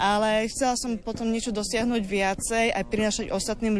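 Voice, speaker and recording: A woman of medium pitch talks at a moderate pace, her intonation monotone and flat. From Slovakia, Vajnory near Bratislava. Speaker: folk ornament artist. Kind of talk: interview.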